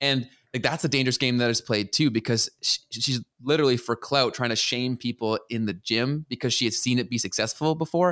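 Speaking at a fairly quick pace with ordinary pitch variation, this an unremarkable speaking voice carries a Canadian accent over a very clean recording with a silent background and a dry, close sound with no echo. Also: man, medium pitch for a man. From Canada. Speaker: podcast co-host. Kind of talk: casual chat.

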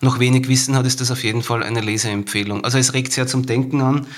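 His intonation stays monotone and flat. The voice is a man's. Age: 40s. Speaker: marketing professional and non-fiction author. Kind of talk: casual chat about a book.

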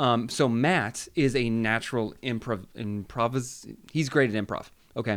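At a fairly slow pace, a man talks in an ordinary speaking voice, his pitch medium with ordinary variation. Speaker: podcaster. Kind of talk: casual chat. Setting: studio.

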